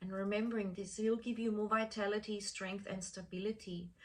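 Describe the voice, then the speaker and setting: A woman talks in a normal speaking voice with medium pitch. She keeps fairly even intonation at a moderate pace. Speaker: chakra healing teacher. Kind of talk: talk to course participants.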